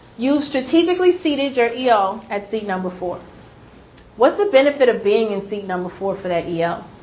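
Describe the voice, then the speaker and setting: Noticeable background noise behind a woman at a fairly high pitch, with very wide pitch swings and a fairly quick pace. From Louisiana. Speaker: instructional coach leading teacher training. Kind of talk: professional development workshop.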